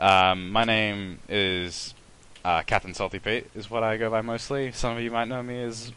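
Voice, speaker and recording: Here is a man speaking. His tone is bright and sharp. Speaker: let's play gamer. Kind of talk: gameplay commentary. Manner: fast; halting, many repeated words and fillers.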